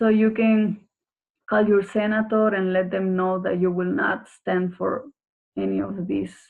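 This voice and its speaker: A woman with a Spanish accent at a fairly slow pace, with fairly even intonation. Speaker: NGO program staff. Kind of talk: webinar presentation.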